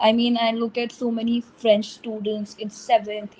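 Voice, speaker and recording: Against noticeable background noise, a woman with a Punjabi accent speaks at a fairly high pitch in a monotone, flat intonation. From India, New Delhi. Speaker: English and French tutor. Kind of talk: online English conversation practice.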